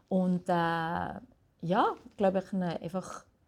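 A woman speaks in a dark, mellow tone. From Switzerland, Valais. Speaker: jazz singer. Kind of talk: interview. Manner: halting.

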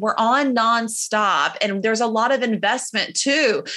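A woman with an unremarkable speaking voice and an American accent talks at a fairly slow pace, her fairly high pitch showing ordinary variation. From South Carolina. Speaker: photographer. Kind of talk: casual interview chat.

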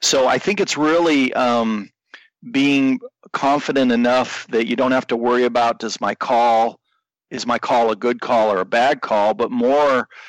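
A normal speaking voice, recorded dry and close with no echo, moves at a fairly slow pace with ordinary pitch variation. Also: man, medium pitch for a man. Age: 50s. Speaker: bowhunter, podcast listener. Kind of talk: casual interview.

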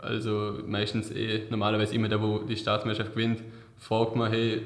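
A man's fairly low, flat, monotone voice, with audible room echo and noticeable background noise. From Vorarlberg, Austria. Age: 20s. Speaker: award-winning apprentice technician. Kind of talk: interview. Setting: office.

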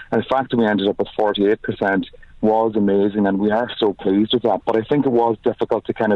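The speaker talks at a fairly quick pace with a Donegal accent. The intonation is monotone and flat. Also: man. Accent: Donegal Irish. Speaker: pro-choice campaign canvasser. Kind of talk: interview.

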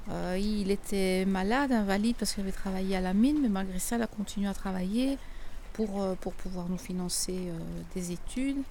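A woman speaks at a moderate pace in a medium pitch, her tone dark and mellow, with audible room echo around her. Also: ordinary pitch variation. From Belgium. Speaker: miner's daughter. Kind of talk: testimony. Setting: outdoors.

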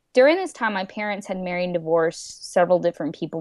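A woman speaks in an ordinary speaking voice with ordinary pitch variation. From India-born, raised in US. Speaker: paralegal and anti-trafficking speaker. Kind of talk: casual interview, personal testimony.

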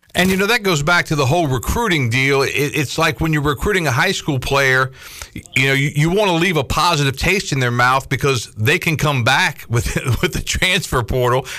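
A man talks at a fairly quick pace with a fairly high pitch and lively intonation. His loudness stays very even over noticeable background noise. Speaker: sports radio host.

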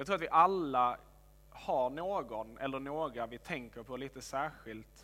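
The voice has a bright, sharp tone, moves at a fairly slow pace and shows ordinary pitch variation. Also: man. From Helsingborg, Skåne, southern Sweden. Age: 20s. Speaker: pastor. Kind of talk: sermon.

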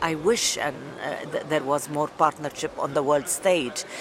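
Spoken at a moderate pace with ordinary pitch variation, the clip carries noticeable background noise. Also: woman. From Lebanon. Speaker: writer and journalist. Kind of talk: interview. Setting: at a conference.

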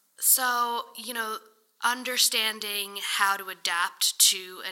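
A woman with an American accent speaks in a bright, sharp tone. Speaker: real estate agent. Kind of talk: interview.

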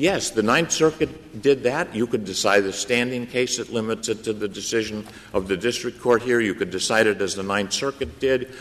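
Amid noticeable background noise, a man talks at a moderate pace and medium pitch with ordinary pitch variation and hardly any pauses. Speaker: attorney arguing before the court. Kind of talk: courtroom oral argument, polished legal advocacy. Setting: courtroom, Supreme Court hearing. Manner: formal, earnest, persuasive, respectful.

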